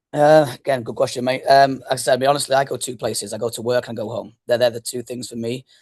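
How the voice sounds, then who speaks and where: Speaking at a very fast pace with hardly any pauses, a man keeps a medium pitch. His intonation is monotone and flat. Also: big swings in loudness. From northwest England (Blackpool). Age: 30s. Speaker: youth soccer club founder and coach. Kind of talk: podcast interview. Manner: fast-talking.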